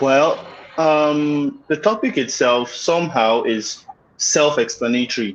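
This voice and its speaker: Speaking at a very slow pace, a man with a Nigerian accent uses lively intonation at a fairly high pitch. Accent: Nigerian (Yoruba) English. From Nigeria, Lagos (Yoruba). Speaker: guest, maritime graduate. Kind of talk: casual interview. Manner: halting, many fillers.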